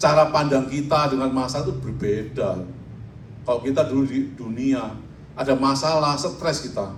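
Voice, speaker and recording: A man's medium-pitched voice at a moderate pace, fairly even in intonation, with audible room echo and noticeable background noise. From Indonesia, Surabaya (East Java). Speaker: pastor. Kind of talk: sermon.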